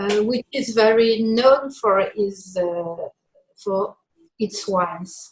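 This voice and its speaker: The speaker has a French accent. Pitch variation is ordinary. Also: woman. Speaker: winemaker. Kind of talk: casual chat.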